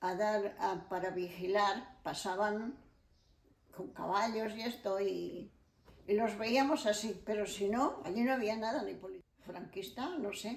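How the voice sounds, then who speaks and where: Against audible room echo, a woman of medium pitch speaks at a very slow pace with ordinary pitch variation. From Spain, León province. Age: 80s+. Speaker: elderly interviewee sharing life memories. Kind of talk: oral history interview.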